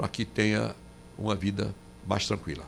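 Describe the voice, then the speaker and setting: A man's very deep, low voice at a moderate pace. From Paraíba, Brazil. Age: 80s+. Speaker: former senator. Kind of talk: radio interview. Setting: radio studio. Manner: halting, many restarts.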